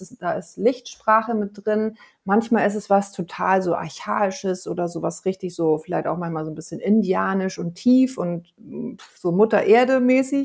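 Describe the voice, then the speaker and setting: At a moderate pace, a woman talks in an ordinary speaking voice at medium pitch, with ordinary pitch variation. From Hamburg, northern Germany. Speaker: singer and voice coach. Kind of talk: interview.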